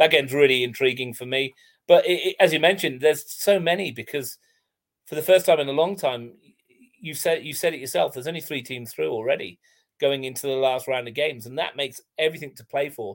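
The man speaks very fast with ordinary pitch variation, on a very clean recording where the background is silent. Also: big swings in loudness. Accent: English. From England. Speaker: football commentator and writer. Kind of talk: casual chat.

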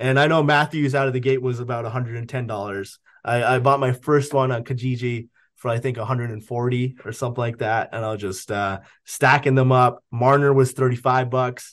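Quick-paced and medium in pitch, a man speaks in an unremarkable speaking voice with a Canadian accent. The background is quiet. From Canada. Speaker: sports card auction house owner. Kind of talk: casual chat.

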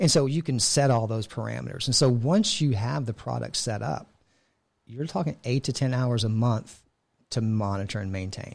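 A man with a plain, everyday voice and an American accent talks at a moderate pace and medium pitch. His intonation is lively, and the recording is very clean with a silent background. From Texas, Houston area. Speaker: cybersecurity sales director, Navy veteran. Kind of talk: interview.

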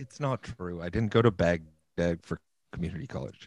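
A man with a Western Canadian accent is heard in a dry, close sound with no echo. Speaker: podcast co-host. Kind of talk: casual chat.

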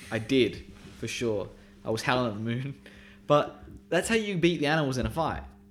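A man of medium pitch at a fairly quick pace, with lively intonation and long, frequent pauses. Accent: Australian. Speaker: podcast co-host. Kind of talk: casual chat.

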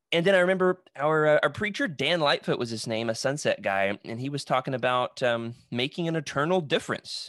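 Hardly pausing, a man with a fairly high pitch and an unremarkable speaking voice talks at a fairly quick pace with lively intonation, in a dry, close sound with no echo and a quiet background. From Arkansas, US South. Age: 20s. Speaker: preacher. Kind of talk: podcast interview.

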